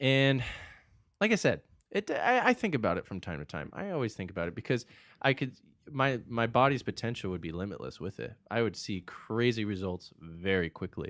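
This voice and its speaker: A man with an American accent speaks in a normal speaking voice at a medium pitch and fairly quick pace, with lively intonation, on a very clean recording with a silent background. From Arizona. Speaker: natural bodybuilder. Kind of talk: casual chat.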